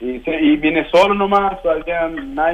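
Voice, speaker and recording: Noticeable background noise surrounds this recording. A man speaks in a high pitch with ordinary pitch variation. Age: 20s. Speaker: footballer. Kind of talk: interview.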